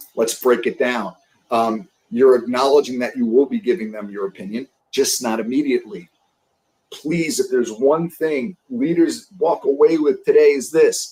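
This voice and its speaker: With a New York accent, a man speaks in a fairly high pitch, his dark, mellow tone carried by lively intonation. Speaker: sales leadership coach. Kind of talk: interview on a live stream. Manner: fast.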